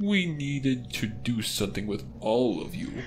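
A man does a put-on character voice at a medium pitch. Background noise is clearly audible. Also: moderate pace. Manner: sinister, theatrical.

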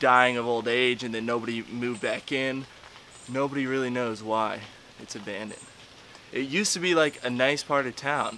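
With light background noise, a man speaks at a moderate pace with ordinary pitch variation. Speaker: explorer vlogger. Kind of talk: casual vlog chat. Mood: curious, a bit eerie. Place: street. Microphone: phone near.

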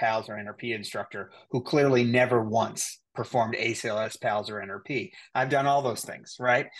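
The man's intonation stays fairly even, with a quiet background behind him. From Cape Breton Island, Nova Scotia, Canada; Nova Scotia, Canada. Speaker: nurse anesthetist and educator; educator. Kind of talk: interview. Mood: calm, confident, informative. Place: home room. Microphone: video call.

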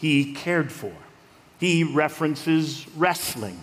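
Male voice at a very slow pace. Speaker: pastor. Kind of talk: sermon. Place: church. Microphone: headset.

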